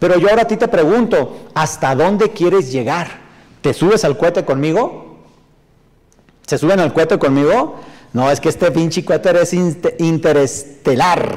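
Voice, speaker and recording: An animated tone comes through with ordinary pitch variation and very even loudness against a quiet background. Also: man, high pitch for a man, moderate pace. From northern Mexico. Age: 40s. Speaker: motivational speaker and sales trainer; motivational speaker, sales trainer. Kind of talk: live stream talk reading viewer comments. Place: studio.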